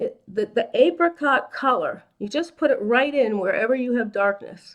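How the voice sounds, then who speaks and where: A woman speaks in a high pitch at a fairly slow pace. Her pitch varies in an ordinary way. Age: 60s. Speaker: makeup artist and esthetician. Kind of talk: makeup tutorial. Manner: casual, conversational.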